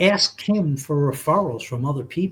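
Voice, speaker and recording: A man speaks at a fairly slow pace in a somewhat breathy voice with an American accent and lively intonation. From New York City. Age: 60s. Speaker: insurance agent. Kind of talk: casual chat. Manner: animated.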